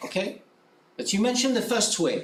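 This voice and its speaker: A man with a French accent and ordinary pitch variation, amid noticeable background noise. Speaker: academic presenter. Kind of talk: conference presentation; conference Q&A answer.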